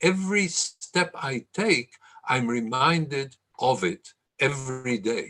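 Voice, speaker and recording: A man speaks with an Israeli accent. His intonation is lively. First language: Hebrew. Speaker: lecturer. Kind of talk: lecture.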